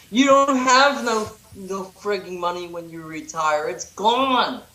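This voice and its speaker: Amid noticeable background noise and audible room echo, a man uses a raised, projected voice at high pitch, speaking at a very slow pace with lively intonation and big swings in loudness. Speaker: activist and protest reporter. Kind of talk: casual chat. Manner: animated.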